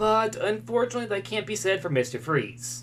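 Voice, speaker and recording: His voice comes out somewhat breathy. The man keeps a fairly quick pace. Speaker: YouTube commentator on comic book media. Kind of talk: video essay commentary. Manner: fast.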